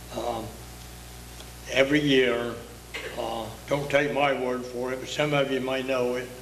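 In an American accent, a man talks at a fairly slow pace with monotone, flat intonation and long, frequent pauses. Audible room echo and light background noise fill the recording. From Outer Banks, eastern North Carolina; North Carolina. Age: 80s+. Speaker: retired commercial fisherman; local storyteller. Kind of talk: storytelling interview. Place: hall. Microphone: handheld.

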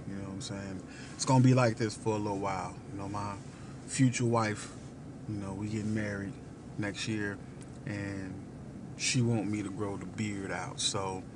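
The speech comes at a moderate pace with long, frequent pauses. Noticeable background noise can be heard. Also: man. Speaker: restaurant reviewer. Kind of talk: casual vlog chat. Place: car. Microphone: phone near.

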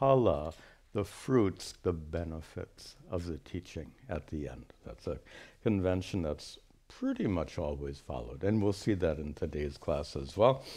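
Very deep and low, a man's voice comes at a fairly slow pace with vocal fry and a dark, mellow tone. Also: quiet background. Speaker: teacher. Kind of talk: lecture. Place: hall.

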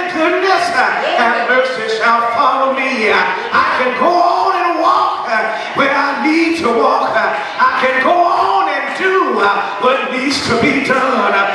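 A man talks at a very slow pace. The room echoes audibly, and loud noise fills the background. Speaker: preacher. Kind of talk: sermon. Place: church.

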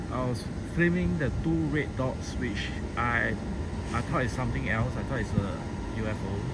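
Despite loud background noise, the man's voice sounds dry with no echo as he speaks at a fairly slow pace. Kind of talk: casual spoken commentary. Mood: puzzled, curious. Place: street. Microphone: phone near.

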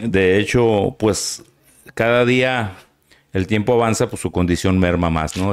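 Against a quiet background, a man speaks fairly slowly in a fairly low voice with ordinary pitch variation. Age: 60s. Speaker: son of a famous musician; interview guest. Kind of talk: interview. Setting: studio. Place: studio. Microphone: studio mic.

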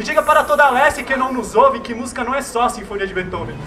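A man speaks in an extremely high, raised, projected voice with ordinary pitch variation. Noticeable background noise sits behind him. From Brazil, São Paulo east side. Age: young. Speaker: slam poet. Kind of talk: spoken word performance. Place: street. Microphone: handheld.

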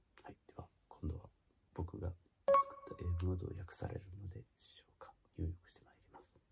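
Over music in the background, a man with a very deep, low pitch speaks at a moderate pace, his intonation fairly even but his loudness swinging widely. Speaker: singer. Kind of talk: casual talk to camera.

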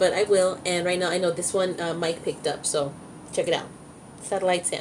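At a fairly slow pace, a woman speaks with a fairly low pitch and a slightly mellow tone.

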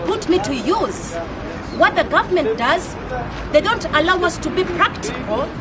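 A woman speaks at an extremely high pitch and a fairly slow pace, with clear crowd noise and other clear background noise behind her.

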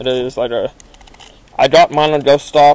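The speaker is male. He keeps a moderate pace. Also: dry sound with no echo. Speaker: paranormal explorer vlogger. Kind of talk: casual vlog chat. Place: forest. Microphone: phone near.

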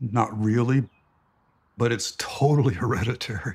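This man's voice sits at a medium pitch, somewhat breathy, with fairly even intonation. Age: 70s. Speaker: retired city planner. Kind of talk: documentary interview answer.

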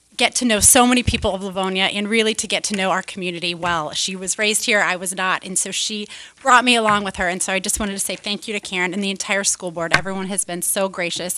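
A woman speaks at a very fast pace. Noticeable background noise can be heard. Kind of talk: acceptance speech thanks. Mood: warm, grateful, smiling. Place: meeting room. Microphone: podium.

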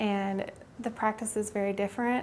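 Over light background noise, a woman with a fairly high pitch speaks at a moderate pace in a monotone, flat intonation. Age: 20s. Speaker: orthodontic office staff. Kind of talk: staff introduction interview. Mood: friendly, relaxed. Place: office.

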